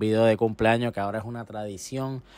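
A man talks at a fairly quick pace in a flat monotone. The sound is dry, with no echo. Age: 20s. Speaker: gaming youtuber. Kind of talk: casual vlog. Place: home room. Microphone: handheld.

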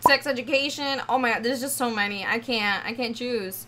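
Over light background noise, a woman uses a raised, projected voice with an animated tone, ordinary pitch variation, and a moderate pace. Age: 20s. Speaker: gaming YouTuber and streamer. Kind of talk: casual Q&A video. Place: home room.

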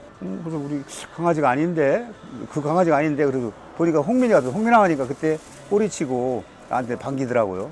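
Very fast delivery with very wide pitch swings, long and frequent pauses, and noticeable background noise. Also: man, fairly high pitch for a man. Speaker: dog owner. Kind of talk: interview answer. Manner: casual, conversational.

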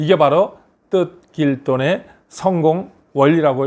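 A man speaks at a fairly high pitch with ordinary pitch variation. He has an unremarkable speaking voice. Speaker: business consultant and lecturer. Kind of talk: motivational talk.

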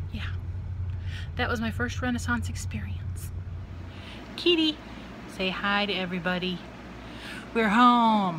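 A woman speaks at a fairly slow pace with long, frequent pauses. Noticeable background noise sits behind her voice. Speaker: vlogger. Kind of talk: casual vlog chat. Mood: cheerful, relaxed. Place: home room. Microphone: phone near.

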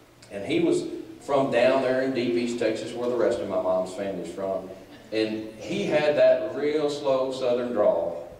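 A man talks at a fairly slow pace. Audible room echo and light background noise surround his voice. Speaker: country humorist and ventriloquist. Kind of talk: stand-up comedy storytelling. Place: church.

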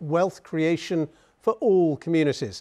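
A man with a British accent speaks in a high pitch against a quiet background. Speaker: news anchor. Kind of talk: news reading. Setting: studio. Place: studio. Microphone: lapel.

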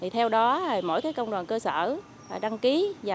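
A woman is heard in a dry recording with no echo and noticeable background noise. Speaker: local trade union official. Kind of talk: interview. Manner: halting. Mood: calm, official reporting. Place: garden. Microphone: handheld.

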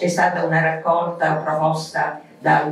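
With audible room echo and light background noise, a woman speaks at a very slow pace. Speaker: club president. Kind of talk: formal event speech. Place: hall.

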